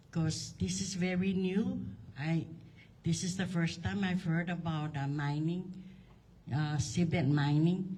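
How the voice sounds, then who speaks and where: A woman's very deep, low-pitched, somewhat breathy voice with a dark, mellow tone and lively intonation, at a very slow pace with long, frequent pauses and audible room echo. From Saipan, Northern Mariana Islands. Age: 70s. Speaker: local resident giving public comment. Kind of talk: public comment at town hall. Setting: town hall meeting.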